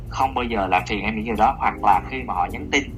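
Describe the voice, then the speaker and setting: Very rapid speech from a man, with noticeable noise behind him. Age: 30s. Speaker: office worker, podcast guest. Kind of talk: casual chat.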